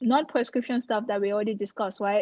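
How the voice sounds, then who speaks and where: A woman speaks with an African accent. The sound is dry and close, with no echo. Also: quiet background. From Cameroon. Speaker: dermatologist. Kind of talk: live presentation Q&A. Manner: conversational.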